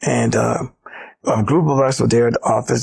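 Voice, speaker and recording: Speaking at a moderate pace, this is a man. He has a Southern US accent. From US South, South Carolina. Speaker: former civil rights organization executive. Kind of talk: interview storytelling. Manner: animated.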